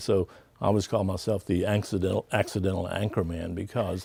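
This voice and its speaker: A somewhat breathy, very deep, low male voice at a fairly quick pace, fairly even in intonation, on a very clean recording with a silent background. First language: Spanish. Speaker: TV news anchor. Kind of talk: interview.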